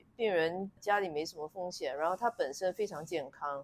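With an unremarkable speaking voice, a woman talks at a fairly low pitch, varying it in an ordinary way. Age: 50s. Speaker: gynecologist. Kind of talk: interview conversation.

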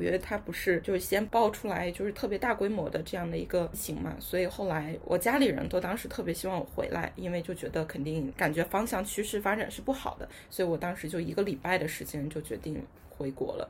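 A woman's medium-pitched voice, an ordinary speaking voice, with lively intonation and hardly any pauses. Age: 20s. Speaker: young office worker. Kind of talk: casual chat.

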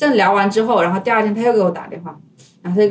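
A woman with fairly even intonation. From China, Hubei. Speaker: former tech worker, language student. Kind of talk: casual interview chat.

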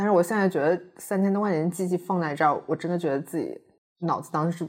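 In a very clean recording with a silent background, a woman uses a normal speaking voice that is fairly low in pitch, with ordinary pitch variation. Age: 30s. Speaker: podcast co-host. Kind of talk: casual chat.

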